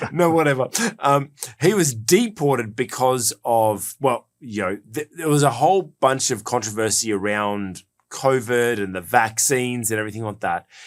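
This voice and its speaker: Using lively intonation, a man with an Australian accent speaks at a medium pitch and a moderate pace. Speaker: podcast host and executive coach. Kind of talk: casual podcast discussion. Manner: hesitant, many fillers and repetitions.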